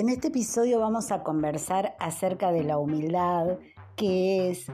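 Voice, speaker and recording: Over music in the background, a woman with a fairly low pitch speaks at a fairly slow pace with lively intonation. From Argentina, Necochea. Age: 60s. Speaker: podcast host, traveler. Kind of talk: podcast monologue.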